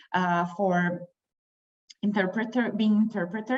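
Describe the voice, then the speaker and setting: A woman speaks at a moderate pace with a non-native accent. Her voice is somewhat breathy and her intonation fairly even. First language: not English. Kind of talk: panel discussion.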